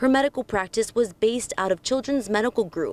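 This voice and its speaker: The speaker has a plain, everyday voice with ordinary pitch variation. The sound is dry and close, with no echo. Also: woman. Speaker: television news reporter. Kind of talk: news package narration, voiceover.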